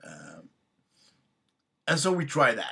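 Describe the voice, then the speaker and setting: A man with a Swedish accent and a bright, sharp tone, at a very slow pace. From Sweden. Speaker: tabletop game master vlogger. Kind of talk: casual personal introduction. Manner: halting, many fillers.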